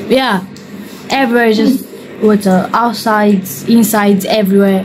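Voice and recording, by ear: Faint background noise sits behind a woman whose slightly mellow tone moves at a fairly slow pace. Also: medium pitch for a woman, fairly even intonation.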